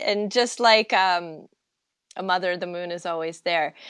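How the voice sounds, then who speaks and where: In a very clean recording with a silent background, a woman speaks fairly slowly with ordinary pitch variation. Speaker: astrologer. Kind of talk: interview. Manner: calm.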